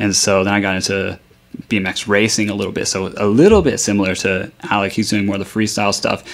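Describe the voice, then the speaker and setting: Talking at a very fast pace, a man with a Texan accent keeps his intonation flat and monotone. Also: fairly low pitch for a man. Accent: Texan American English. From North Texas, Dallas-Fort Worth area. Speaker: bike shop owner. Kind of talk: radio interview.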